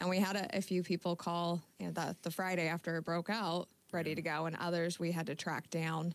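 Speaking at a fairly quick pace with hardly any pauses, a woman with a fairly low pitch keeps her loudness very even and her intonation monotone and flat, in a dry sound with no echo. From Northern California (Yuba City); California. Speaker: insurance agent; guest. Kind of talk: radio interview. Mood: calm, friendly. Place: studio. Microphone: studio mic.

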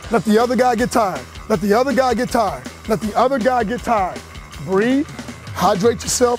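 Faint music plays behind a man who talks at a fairly quick pace with ordinary pitch variation, the sound dry with no echo. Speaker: football position coach. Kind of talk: coaching commands during drills. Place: hall. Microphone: lapel.

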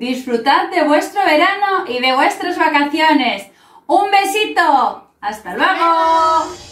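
A woman speaks at an extremely high pitch and a very slow pace. Audible room echo surrounds her voice. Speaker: presenter. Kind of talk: tutorial. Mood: cheerful, warm. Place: home room. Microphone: camera far.

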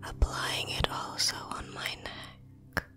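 A woman whispers at a very slow pace with faint music in the background. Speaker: skincare creator. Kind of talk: soft-spoken skincare tutorial. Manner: soft-spoken, calm, gentle murmur.

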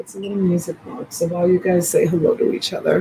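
A woman's voice over noticeable background noise. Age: 50s. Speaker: online reseller and live seller. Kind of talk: live selling stream, casual chat. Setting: home livestream. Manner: softly whispering. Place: home room. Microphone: phone near.

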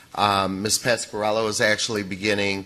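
Moderate-paced speech from a man, pitched fairly low. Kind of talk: public meeting presentation. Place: hall. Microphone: podium.

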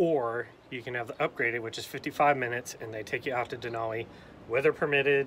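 A man talks at a very fast pace. His intonation is fairly even, with light background noise behind him. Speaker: travel vlogger. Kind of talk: casual vlog chat. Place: open country. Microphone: phone near.

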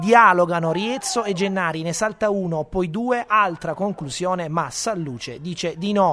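A man talks in a high-pitched voice with an animated, excited tone. Noticeable background noise runs underneath. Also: ordinary pitch variation, hardly any pauses. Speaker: sports commentator. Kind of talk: sports commentary voiceover. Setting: studio voiceover over highlight footage. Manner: fast, energetic, punchy narration with quips; animated, excited play-by-play delivery.

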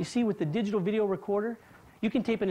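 Faint music plays in the background as a woman talks in an upbeat, enthusiastic tone. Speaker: host actor in infomercial. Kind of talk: infomercial acting. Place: home room.

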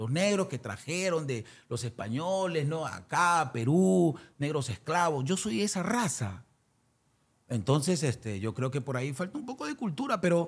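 Somewhat breathy and fairly high-pitched, a man talks at a fairly slow pace with very wide pitch swings. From Peru. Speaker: singer, former band manager. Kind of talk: interview. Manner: halting.

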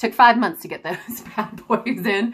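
A woman at a moderate pace against a quiet background. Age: 30s. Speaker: mother vlogging about gastric balloon weight loss. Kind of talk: casual talk to camera. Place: home room. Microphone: phone near.

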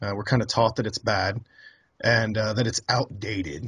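A man speaks fairly quickly in a somewhat breathy voice. His pitch varies in an ordinary way against a quiet background. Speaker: interview guest. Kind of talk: interview answer. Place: home room. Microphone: studio mic.

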